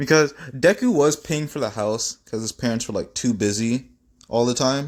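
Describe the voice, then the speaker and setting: On a very clean recording with a silent background, a man with medium pitch and ordinary pitch variation talks at a moderate pace in an ordinary speaking voice. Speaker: fan fiction storyteller. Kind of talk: casual storytelling monologue.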